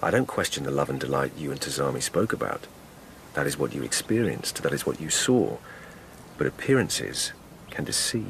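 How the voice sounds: A man's put-on character voice at an extremely low pitch, with vocal fry, big pitch swings and a moderate pace.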